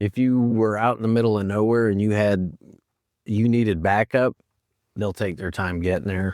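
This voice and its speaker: A man with a northern US accent speaks at a moderate pace, his fairly low voice holding a fairly even intonation. The very clean recording has a silent background and a dry, close sound with no echo. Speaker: former corrections and police officer. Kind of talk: casual chat.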